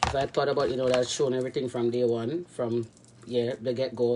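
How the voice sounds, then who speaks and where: Noticeable background noise sits behind a woman speaking with a Jamaican accent. Her pitch is very deep and low, and her pace is fairly quick. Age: young. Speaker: cooking vlogger. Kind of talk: cooking tutorial. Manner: casual, rambling with many fillers.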